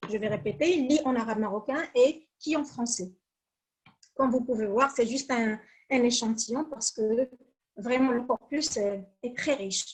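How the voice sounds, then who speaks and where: A woman with a Moroccan accent and high pitch, at a fairly slow pace with ordinary pitch variation and long, frequent pauses. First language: Moroccan Arabic (speaking French). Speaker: academic researcher. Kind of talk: conference presentation. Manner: hesitant, frequent fillers.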